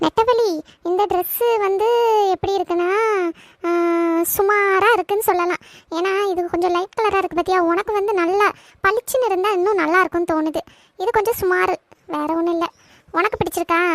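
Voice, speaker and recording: A woman performs a cartoonish character voice at an extremely high pitch with fairly even intonation. Her moderate pace comes through a dry, close sound with no echo. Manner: frank, gives advice at length.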